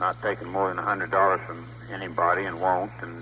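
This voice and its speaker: A man's very deep, low voice with an American accent at a moderate pace, amid noticeable background noise. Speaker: politician, US Senate candidate. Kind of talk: phone call to a live audience.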